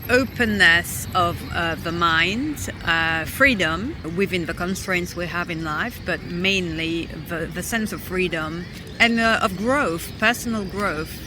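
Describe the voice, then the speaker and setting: Amid noticeable background noise and audible room echo, a woman speaks very slowly at a fairly low pitch with ordinary pitch variation. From London, England. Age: 30s. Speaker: traveller. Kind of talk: interview. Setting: outdoors.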